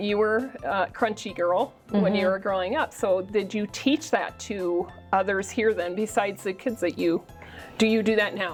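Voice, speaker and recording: A woman with a Minnesota accent speaks at a medium pitch with ordinary pitch variation. Music plays in the background. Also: moderate pace. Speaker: interviewer.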